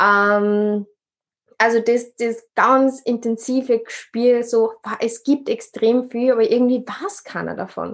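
The speaker goes at a very slow pace. The intonation stays fairly even. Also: woman, fairly high pitch for a woman. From Upper Austria. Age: 20s. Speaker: social worker and podcaster. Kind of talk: interview.

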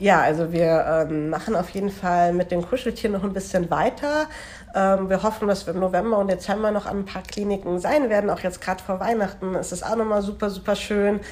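Amid noticeable background noise, a woman with a medium pitch speaks at a fairly quick pace with ordinary pitch variation. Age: 20s. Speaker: student teacher and charity volunteer. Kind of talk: casual interview.

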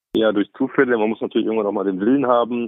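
This is a man with an ordinary speaking voice. His medium pitch follows fairly even intonation. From Bavaria, Lower Bavaria. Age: 40s. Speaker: politician, member of parliament. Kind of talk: interview. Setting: phone call.

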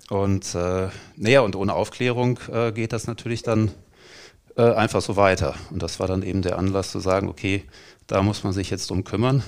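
On a very clean recording with a silent background, a man with a fairly low voice speaks at a moderate pace with fairly even intonation. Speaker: stadium announcer. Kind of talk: casual interview. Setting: training ground room. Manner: calm.

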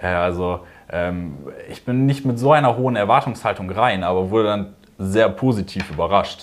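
A man with a fairly low pitch speaks at a moderate pace, with ordinary pitch variation. He leaves long, frequent pauses. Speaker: business student. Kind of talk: interview. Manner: hesitant with many fillers.

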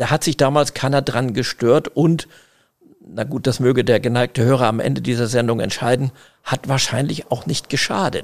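Using vocal fry, a man talks at a medium pitch and moderate pace with fairly even intonation. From northern Germany, Schleswig-Holstein (Eckernförde). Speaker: family business managing director. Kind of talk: interview. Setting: tower room at company office.

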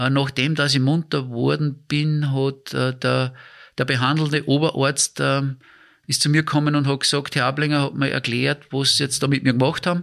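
Monotone, flat intonation at a moderate pace, with very even loudness. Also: man, fairly high pitch for a man. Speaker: Paralympic handbike athlete. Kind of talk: casual interview. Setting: in his living room. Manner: halting, many fillers and repetitions.

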